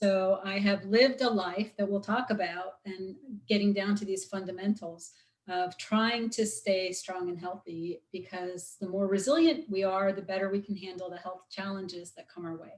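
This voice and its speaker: A woman of medium pitch talks at a moderate pace in an unremarkable speaking voice, with ordinary pitch variation and big swings in loudness. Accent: American. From US Midwest, Chicago. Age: 50s. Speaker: osteopathic physician. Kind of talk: guest talk in interview.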